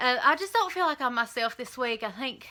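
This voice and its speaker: A woman speaks with a high pitch and a bright, sharp tone. The recording is very clean, with a silent background. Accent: Southern US. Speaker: vlogger. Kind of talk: casual vlog update.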